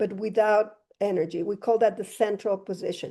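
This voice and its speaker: A fairly high-pitched woman with a dark, mellow tone talks at a fairly quick pace with fairly even intonation over a quiet background. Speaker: dentist giving a lecture. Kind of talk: lecture. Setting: fitness facility with live and online audience. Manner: fast.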